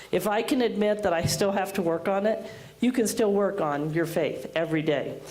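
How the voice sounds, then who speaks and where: A woman speaks at a moderate pace and medium pitch, with ordinary pitch variation. Noticeable background noise and audible room echo are present. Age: 60s. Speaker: school principal. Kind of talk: commencement speech. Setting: graduation ceremony with audience.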